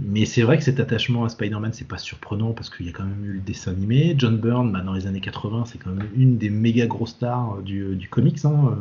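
A man with a plain, everyday voice at a moderate pace, with ordinary pitch variation. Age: 40s. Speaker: comics translator and editor. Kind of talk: casual chat.

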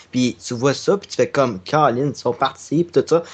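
A man uses an ordinary speaking voice. His pitch is fairly high and his intonation lively. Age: 20s. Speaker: podcaster and gaming video creator. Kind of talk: casual chat.

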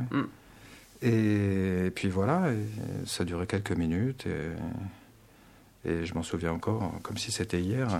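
Here a man speaks at a very slow pace. His fairly low voice shows ordinary pitch variation. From Paris region, France. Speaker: meditation teacher. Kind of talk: radio interview.

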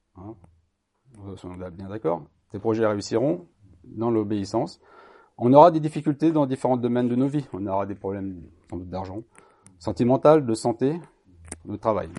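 A man talks at a moderate pace and medium pitch, his tone dark and mellow with lively intonation and big swings in loudness. He leaves long, frequent pauses against a quiet background. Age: 50s. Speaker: lay preacher. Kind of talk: sermon. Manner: halting.

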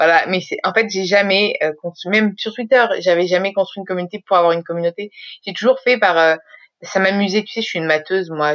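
Talking at a fairly quick pace, a woman uses an ordinary speaking voice with ordinary pitch variation. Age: 30s. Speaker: social media consultant. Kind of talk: casual chat.

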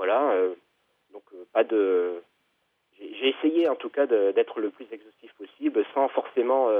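With long, frequent pauses, a man of medium pitch speaks very slowly, his intonation lively and his loudness swinging widely. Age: 40s. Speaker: author. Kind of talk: interview. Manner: halting.

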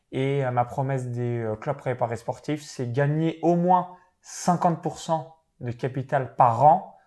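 In a very clean recording with a silent background, a man with a dark, mellow tone and fairly high pitch speaks at a very slow pace. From eastern France, Saône-et-Loire (near Chalon-sur-Saône). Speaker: professional sports bettor and online entrepreneur. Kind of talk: interview.

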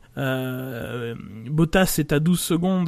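His pitch fairly high for a man, the speaker varies it in an ordinary way. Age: 40s. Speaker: F1 podcast panelist. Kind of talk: casual chat.

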